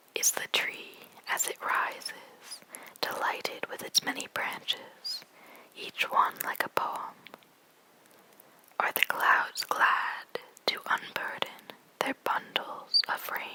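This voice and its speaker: Whispering comes at a very slow pace with long, frequent pauses. Noticeable background noise sits underneath. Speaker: ASMR creator. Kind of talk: poetry reading. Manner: whispered, soft, slow.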